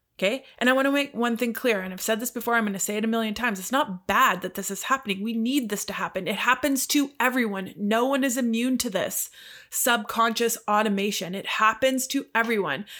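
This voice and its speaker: On a very clean recording with a silent background, a woman with a Canadian accent and an unremarkable speaking voice talks at a fairly quick pace and a fairly high pitch. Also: ordinary pitch variation. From Canada. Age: 40s. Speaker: podcast host and life coach. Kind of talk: solo monologue podcast.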